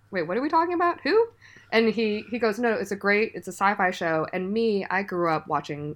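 A woman with an unremarkable speaking voice talks at medium pitch and a fairly quick pace. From US. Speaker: podcast guest, pixel artist collaborator. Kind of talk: casual chat.

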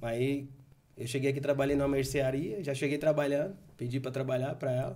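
A man with an ordinary speaking voice, fairly high-pitched, talking at a fairly quick pace. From Bahia, Brazil. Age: 40s. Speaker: video game store owner. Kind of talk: casual interview.

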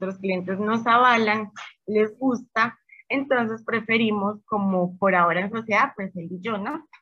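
A woman uses a normal speaking voice with a fairly high pitch. She goes at a fairly slow pace with fairly even intonation. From Colombia, Medellín. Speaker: small bakery business owner. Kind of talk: casual interview.

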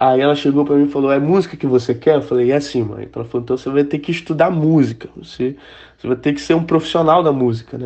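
Here a man with a fairly high pitch speaks with ordinary pitch variation. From Brazil, Manaus (Amazonas). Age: 20s. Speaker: musician. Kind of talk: interview.

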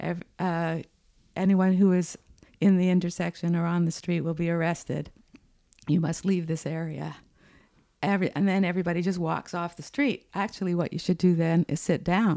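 A woman speaks in a monotone, flat intonation at a moderate pace. Her pitch is fairly low, and her tone is dark and mellow. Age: 60s. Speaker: climate activist. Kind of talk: casual interview. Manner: laughs often.

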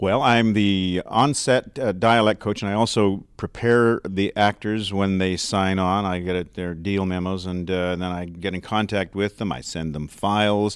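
An ordinary speaking voice belongs to a man with fairly low pitch and fairly even intonation. He talks at a moderate pace with hardly any pauses, on a very clean recording with a silent background. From Canada. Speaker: dialect coach and actor. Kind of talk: interview.

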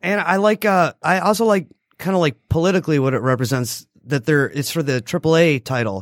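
In a normal speaking voice, a man talks at a fairly quick pace with lively intonation, in a dry, close sound with no echo on a very clean recording with a silent background. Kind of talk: casual banter, co-host roll call.

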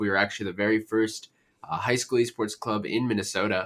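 A man's bright, sharp voice at a medium pitch, on a very clean recording with a silent background. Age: 20s. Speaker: esports organization founder, university student. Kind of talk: podcast interview.

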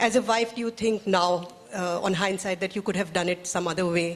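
Using an unremarkable speaking voice, a woman of medium pitch talks at a moderate pace with fairly even intonation. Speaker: journalist and moderator. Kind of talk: interview moderation. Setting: stage with audience.

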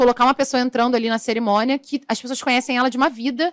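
A woman's high-pitched, very fast voice with fairly even intonation and a dry, close sound with no echo. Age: 30s. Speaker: makeup artist. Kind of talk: interview.

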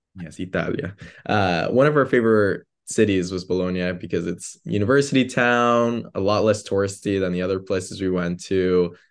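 A plain, everyday voice with an American accent moves at a moderate pace with ordinary pitch variation over a quiet background. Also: man, fairly low pitch for a man. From US suburbs. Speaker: graduate student. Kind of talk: casual chat. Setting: remote call from his bedroom.

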